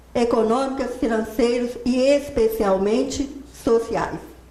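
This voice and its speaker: A woman speaks in a Minas Gerais accent at a high pitch. Audible room echo surrounds her voice. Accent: mineiro. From Minas Gerais, Brazil. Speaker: accountant and professor giving a talk. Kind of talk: lecture.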